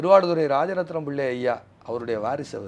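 A man speaks in an ordinary speaking voice, pitched fairly high, with ordinary pitch variation. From southern Tamil Nadu. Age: 50s. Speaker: guest. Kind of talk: interview. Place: home room. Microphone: lapel.

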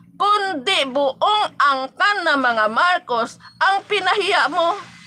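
A raised, projected voice moves at a very slow pace with very wide pitch swings, over noticeable background noise. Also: woman. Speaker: live-stream vlogger, political supporter. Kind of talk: angry rant, insulting political opponents in a livestream. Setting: live stream to online viewers. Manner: animated, scornful, loud and heated; mocking, laughs often.

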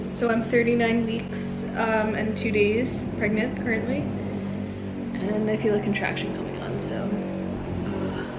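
Music plays in the background as a woman speaks at a fairly slow pace, leaving long, frequent pauses. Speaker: expecting mother vlogger. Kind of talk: casual vlog chat. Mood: nervous, unsure about labor. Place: home room. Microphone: camera far.

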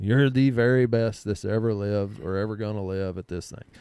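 In a quiet background, a man's dark, mellow voice sits at fairly low pitch, moving at a moderate pace with fairly even intonation. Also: dry sound with no echo. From Texas, Comanche. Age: 40s. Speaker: podcast host. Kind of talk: casual chat. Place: studio. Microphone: studio mic.

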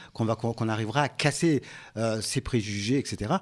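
With ordinary pitch variation, the voice comes through a very clean recording with a silent background. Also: man. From Comoros. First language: Comorian (speaking French). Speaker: local politician and association president. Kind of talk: radio interview. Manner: halting.

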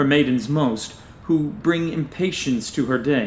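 A man with a plain, everyday voice, fairly high in pitch, at a fairly slow pace with ordinary pitch variation. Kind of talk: scripted audio drama reading in Shakespearean-style verse, performing a character. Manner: archaic, theatrical, playful and mischievous, then suave when flirting.

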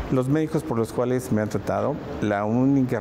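With noticeable background noise present, a man talks with ordinary pitch variation. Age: 40s. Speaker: physician and professor; professor. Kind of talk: testimony.

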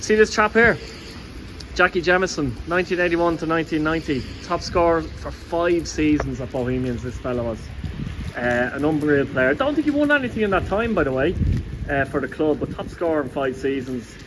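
A man's pace is moderate. There is noticeable noise in the background. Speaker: football fan vlogger. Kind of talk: casual vlog commentary. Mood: enthusiastic, admiring. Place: street. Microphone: phone near.

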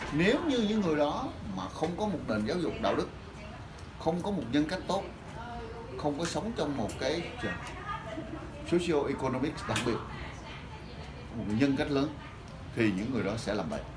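A man talks with long, frequent pauses. Noticeable background noise is present. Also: moderate pace. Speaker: lecturer. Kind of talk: lecture. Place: classroom.

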